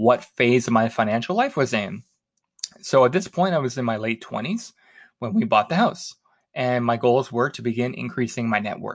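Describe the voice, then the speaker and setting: A man speaks in a normal speaking voice at a medium pitch and moderate pace, with ordinary pitch variation. The background is quiet. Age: 30s. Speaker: personal finance podcast host. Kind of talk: solo podcast monologue.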